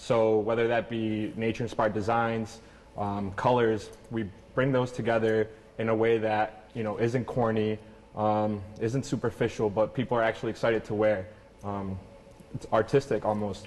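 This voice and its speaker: A man at medium pitch, flat monotone intonation, moderate pace. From Venezuela, then Canada from age six. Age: 20s. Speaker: clothing company founder. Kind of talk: interview.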